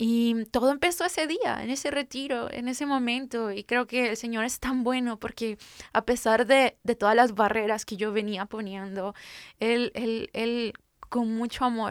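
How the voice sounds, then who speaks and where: A woman with a Guatemalan accent speaks at a fairly slow pace and fairly high pitch. The recording is very clean, with a silent background and a dry, close sound with no echo. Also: ordinary pitch variation. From Guatemala, Guatemala City. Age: 30s. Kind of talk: faith testimony interview.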